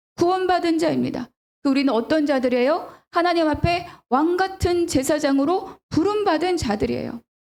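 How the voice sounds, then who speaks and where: An animated woman's voice, extremely high in pitch, with very even loudness, a moderate pace and ordinary pitch variation. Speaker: pastor. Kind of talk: sermon. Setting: church. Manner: animated, rhetorical questions.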